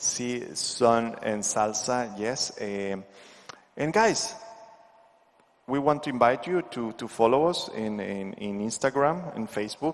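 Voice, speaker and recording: Speaking with a Spanish accent, a man uses a medium pitch and ordinary pitch variation at a fairly slow pace. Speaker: dance instructor. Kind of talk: tutorial. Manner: halting.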